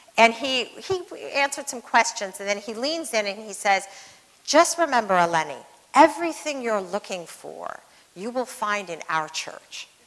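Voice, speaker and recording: A woman with an American accent at a fairly high pitch, moderate pace, very wide pitch swings and big swings in loudness. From Northern California, Sacramento Valley; Northern California. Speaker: former ambassador and businesswoman; speaker. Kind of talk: onstage interview conversation. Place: hall.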